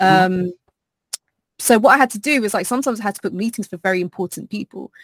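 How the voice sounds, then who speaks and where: A woman speaks at a fairly high pitch with a British accent. The recording is very clean and silent behind her, with a dry, close sound and no echo. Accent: British, proper-sounding. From Southeast London. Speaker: podcast guest, streamer. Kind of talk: polished "office voice" that can slide into casual London slang.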